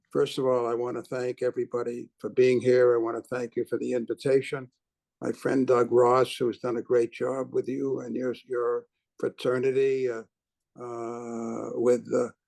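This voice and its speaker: A man speaks in a medium pitch with monotone, flat intonation. The sound is dry and close, with no echo. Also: moderate pace. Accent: Boston. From Boston, Massachusetts. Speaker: businessman and philanthropist. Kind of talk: keynote speech. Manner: halting, many fillers.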